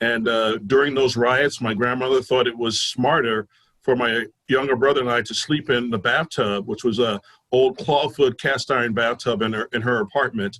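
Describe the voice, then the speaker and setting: A man with an American accent speaks at a moderate pace. His voice sits at a medium pitch with fairly even intonation. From New Jersey (Newark). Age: 60s. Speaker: police union leader. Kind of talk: public debate forum. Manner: hesitant, many fillers.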